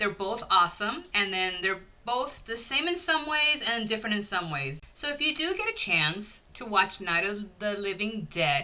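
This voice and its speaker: At a medium pitch, a woman talks in an animated tone with very wide pitch swings. Her pace is moderate, with noticeable background noise behind her. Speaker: YouTube horror movie reviewer. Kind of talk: casual video review monologue.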